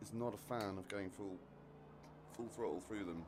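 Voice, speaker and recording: Speaking at a moderate pace, a man with an English accent has fairly even intonation. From British army family, lived all over the world. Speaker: racing game streamer. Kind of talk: live gameplay commentary. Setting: live stream. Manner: casual, fragmented.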